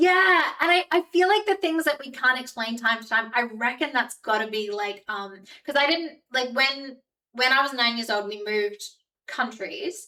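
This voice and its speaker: A woman speaks at a high pitch in a raised, projected voice with a bright, sharp tone. Her pitch swings very widely at a moderate pace. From Australia and New Zealand. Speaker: streamer. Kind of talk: casual chat. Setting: live stream. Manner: animated.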